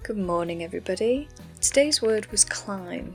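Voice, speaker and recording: Over music in the background, a woman talks at a fairly quick pace in a relaxed tone. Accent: northern English. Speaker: artist. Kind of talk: casual art commentary. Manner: relaxed, chatty.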